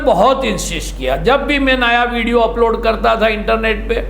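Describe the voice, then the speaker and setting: Male speech carrying audible room echo, with noticeable background noise behind it. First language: Gujarati (speaking Hindi). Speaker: online commentary show host. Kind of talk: direct-to-camera monologue.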